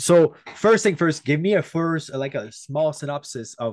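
Against a quiet background, a man with a French accent talks with lively intonation. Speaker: podcast host. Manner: casual, enthusiastic.

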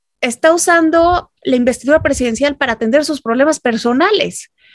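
This woman's voice sits high in pitch with ordinary variation, and the sound is dry and close with no echo. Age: 30s. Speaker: political analyst. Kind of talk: casual chat.

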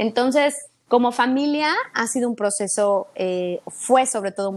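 Someone with a Mexican accent talks in an animated tone at a moderate pace, with ordinary pitch variation. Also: woman. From Mexico City. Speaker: fitness instructor. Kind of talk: casual interview chat.

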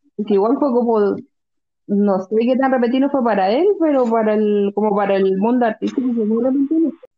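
A woman's fairly high voice at a moderate pace, ordinary pitch variation, a normal speaking voice. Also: very even loudness. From Chile, Concepción. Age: 20s. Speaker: educational psychologist and fan club member. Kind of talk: casual chat.

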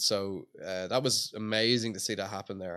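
Against a quiet background, a man with a Dublin accent speaks in a bright, sharp tone with fairly low pitch and monotone, flat intonation. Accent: Dublin Irish. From Ireland, Dublin. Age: 20s. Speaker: skateboard magazine founder. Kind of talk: casual interview chat. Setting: outdoors at a skate plaza.

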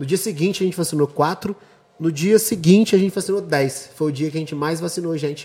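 A man talks at a very fast pace in a high pitch. His tone is dark and mellow, with ordinary pitch variation. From Brazil, Juiz de Fora. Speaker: event organizer. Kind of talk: casual chat.

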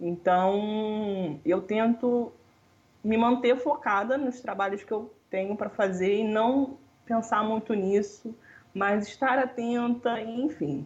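A woman's fairly high, somewhat breathy voice at a very slow pace, with ordinary pitch variation. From Rio de Janeiro, Brazil. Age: 20s. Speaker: economics student. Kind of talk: casual interview.

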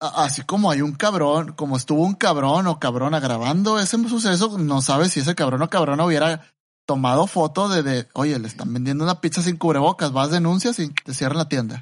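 Fairly high pitch for a man, ordinary pitch variation, a fairly quick pace, and a quiet background. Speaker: podcast co-host. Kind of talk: casual chat.

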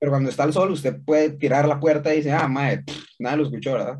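With a Costa Rican accent, a man speaks fairly quickly in a somewhat breathy voice at a fairly high pitch. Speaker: podcast co-host. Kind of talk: casual chat.

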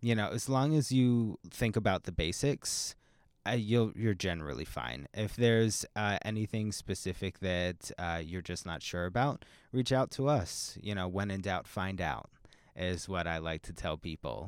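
An ordinary speaking voice from a man with an American accent, fairly low in pitch, moves at a moderate pace with lively intonation. The sound is dry and close with no echo, and the recording is very clean with a silent background. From Pennsylvania. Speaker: university recycling program coordinator. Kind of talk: interview.

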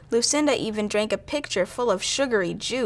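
A person is reading aloud in a natural voice.

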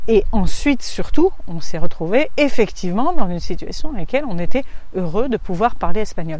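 Speaking at a moderate pace, a woman with a fairly high pitch moves through very wide pitch swings. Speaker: positive parenting coach and podcaster. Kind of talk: solo podcast monologue. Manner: hesitant, with fillers.

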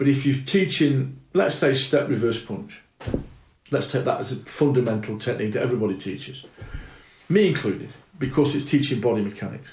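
A man with a British accent, medium pitch, a somewhat breathy voice, lively intonation and a fairly quick pace. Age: 60s. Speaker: martial arts instructor. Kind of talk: casual chat.

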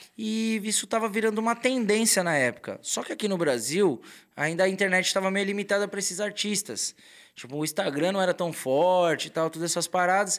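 A man with a high voice speaks at a fairly quick pace on a very clean recording with a silent background. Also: ordinary pitch variation. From São Paulo, Brazil. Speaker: tattoo artist. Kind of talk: casual chat. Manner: animated.

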